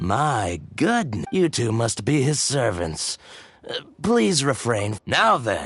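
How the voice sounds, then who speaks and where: Speaking very slowly, the man uses a put-on character voice. His pitch is medium. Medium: video game. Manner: fussy, theatrical.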